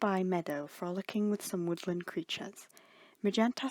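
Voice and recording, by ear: This clip is reading aloud. It uses a natural voice throughout.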